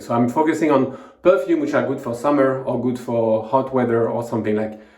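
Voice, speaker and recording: With a French accent, the speaker talks at a moderate pace amid noticeable background noise and audible room echo. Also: man. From southern France (Montpellier). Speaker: fragrance reviewer, video creator. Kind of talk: product review monologue. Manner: halting, many fillers.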